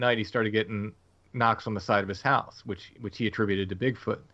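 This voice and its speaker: A man talks in a fairly low pitch with ordinary pitch variation, a normal speaking voice. The background is quiet. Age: 50s. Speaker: author and podcast host. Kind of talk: interview.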